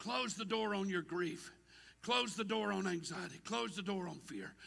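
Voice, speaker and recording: A raised, projected, high-pitched male voice in an animated tone with a Southern US accent, over noticeable background noise. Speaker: preacher. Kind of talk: sermon. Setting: church with congregation. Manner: animated, rousing call-and-response delivery, repetitive and fervent.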